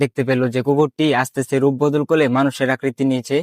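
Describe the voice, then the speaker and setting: A man's fairly high voice, monotone and flat, with a dry, close sound and no echo. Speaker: listener narrating a family ghost experience about his father. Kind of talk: casual ghost story telling.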